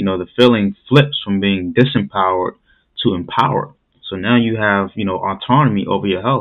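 A man with a normal speaking voice talks at a fairly quick pace. His pitch is fairly low, with ordinary variation. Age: 30s. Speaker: podcast host. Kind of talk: podcast interview.

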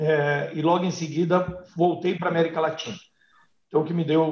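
A man is speaking. His voice is somewhat breathy. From Brazil, Paraná (north/northwest interior). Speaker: veterinarian and animal health company executive. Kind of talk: interview.

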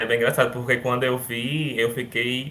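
Noticeable background noise runs through the clip. A man's intonation stays fairly even. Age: 20s. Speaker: former student, university student. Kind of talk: casual chat.

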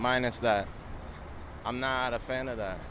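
With crowd noise in the background, a man with a New York accent speaks at a moderate pace. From Long Island, New York. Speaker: skateboarder and clothing maker. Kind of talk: casual interview while walking. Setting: outdoors walking city streets.

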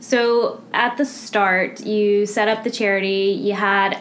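Over noticeable background noise, the voice moves at a very slow pace with monotone, flat intonation. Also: woman. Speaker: charity office manager and podcast interviewer. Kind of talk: casual interview.

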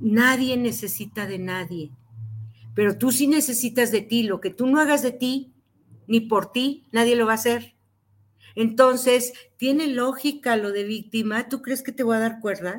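In a normal speaking voice, a woman talks at a fairly high pitch with ordinary pitch variation and a fairly slow pace, on a very clean recording with a silent background. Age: 60s. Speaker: psychotherapist. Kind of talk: interview.

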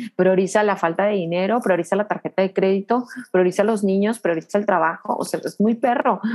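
A woman speaks in a normal speaking voice at a medium pitch and a fairly quick pace. Her loudness stays very even, with ordinary pitch variation. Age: 30s. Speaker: business coach. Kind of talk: interview.

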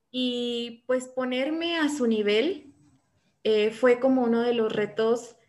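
Woman, fairly high in pitch. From Morelia, Mexico. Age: 20s. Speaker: doctoral student. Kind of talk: casual interview chat. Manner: hesitant, many fillers.

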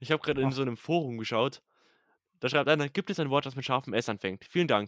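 The sound is dry and close with no echo. A man talks at a very fast pace, medium in pitch, with ordinary pitch variation. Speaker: podcast co-host. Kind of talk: casual chat.

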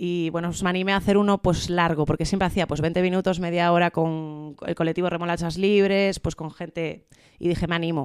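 Fairly quick delivery, with pitch shifting in an ordinary way. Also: woman. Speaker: comedian. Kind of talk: casual chat. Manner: fast.

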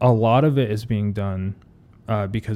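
The voice has a dark, mellow tone and an American accent, on a very clean recording with a silent background. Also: man. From US Midwest, Ohio. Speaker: graffiti and mural artist. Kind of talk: casual interview chat. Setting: podcast studio.

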